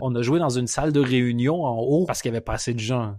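Dry and close with no echo, this very clean recording with a silent background features a man in an ordinary speaking voice, medium in pitch with ordinary pitch variation, at a fairly quick pace. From Quebec. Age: 30s. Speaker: comedian. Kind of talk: casual chat. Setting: call from abroad.

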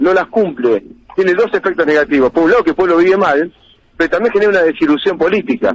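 Very fast and high-pitched, a man talks with lively intonation in a dry sound with no echo. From Argentina. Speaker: politician. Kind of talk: radio interview. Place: studio.

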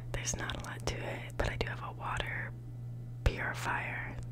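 Moderate pace against loud background noise. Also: woman. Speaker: college student living in a dorm. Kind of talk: ASMR dorm tour, casual talk to camera. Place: home room. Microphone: phone near.

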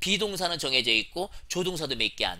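On a very clean recording with a silent background, a man speaks high in pitch with an animated, bright, sharp tone. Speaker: English teacher. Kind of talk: lecture.

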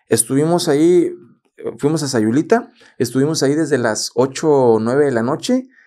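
Against a quiet background, a man with a dark, mellow tone speaks at a fairly high pitch and moderate pace, with ordinary pitch variation and very even loudness. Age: 30s. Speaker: podcast host and photographer; podcast host. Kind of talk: casual chat. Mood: relaxed, smiling. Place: studio. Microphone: studio mic.

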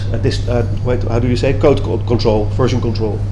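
Noticeable background noise runs beneath a man speaking at a medium pitch. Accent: Dutch. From Netherlands. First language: Dutch. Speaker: web developer. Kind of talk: conference talk. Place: hall.

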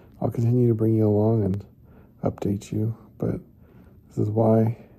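A man talks at a moderate pace in a somewhat breathy voice with monotone, flat intonation against a quiet background. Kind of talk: casual vlog chat. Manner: tired, weak patient voice. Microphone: phone near.

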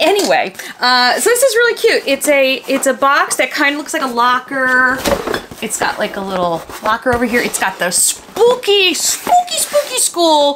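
A woman speaks in a high pitch. Light background noise can be heard. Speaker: doll collector vlogger. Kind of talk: casual vlog chat. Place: home room.

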